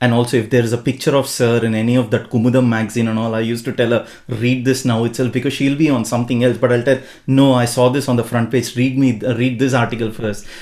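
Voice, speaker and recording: Speaking at a very fast pace, a man with a Tamil accent has a medium pitch and monotone, flat intonation. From India, Bangalore. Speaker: podcast host. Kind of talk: podcast interview.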